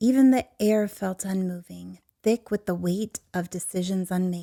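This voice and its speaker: Soft-spoken and calm, a woman speaks with a soothing, dark, mellow tone at a medium pitch and with fairly even intonation. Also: fairly slow pace. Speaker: podcast host and storyteller. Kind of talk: sleep story. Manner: soft, calm, soothing.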